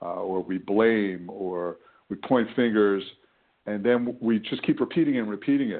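A man speaks at a moderate pace with fairly low pitch and ordinary pitch variation. He has a plain, everyday voice. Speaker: weight loss coach. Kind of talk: live coaching Q&A call. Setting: phone call. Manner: casual, conversational, friendly.

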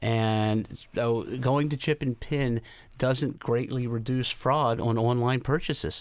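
A man talks at a very slow pace with fairly even intonation and very even loudness, in a very clean recording with a silent background. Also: medium pitch for a man. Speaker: retail industry representative. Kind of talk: radio interview.

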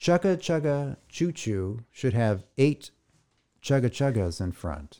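The recording is very clean with a silent background. A man talks at a fairly slow pace with very wide pitch swings. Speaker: podcast co-host. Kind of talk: casual chat.

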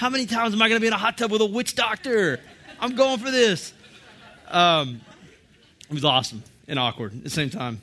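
Raising and projecting his high voice, a man talks animatedly at a fairly quick pace with very wide pitch swings, broken by long, frequent pauses. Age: 30s. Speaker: church teacher. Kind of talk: sermon.

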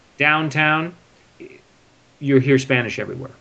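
A man speaks at a fairly quick pace. He has a Californian accent. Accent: Californian American English. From Northern California, near San Francisco. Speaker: businessman in equipment finance. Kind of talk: interview for English learners.

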